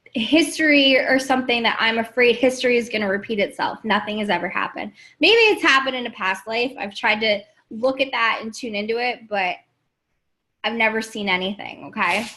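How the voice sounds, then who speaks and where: A woman speaks at a fairly quick pace with an animated tone. Her fairly high voice has a bright, sharp tone. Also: ordinary pitch variation. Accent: American. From New York, Queens. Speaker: life coach. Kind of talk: livestream talk to viewers. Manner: casual, animated.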